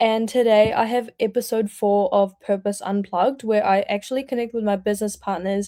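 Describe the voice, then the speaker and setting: A woman's fairly high voice with a dark, mellow tone, fairly even intonation, a fairly quick pace and hardly any pauses, in a very clean recording with a silent background. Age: 20s. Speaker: online business owner and livestream host. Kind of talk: livestream introduction to viewers.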